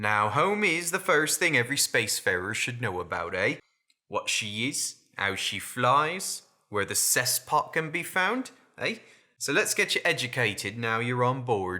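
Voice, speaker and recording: A man's drawling, put-on character voice at medium pitch and moderate pace, on a very clean recording with a silent background. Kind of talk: salty sailor storytelling. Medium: solo performance. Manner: folksy, drawling, full of sailor slang.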